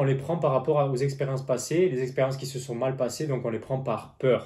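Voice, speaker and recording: Somewhat breathy and dark, mellow in tone, a man speaks at a fairly high pitch and a moderate pace. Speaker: tarot reader and business coach. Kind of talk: tarot reading monologue. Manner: halting.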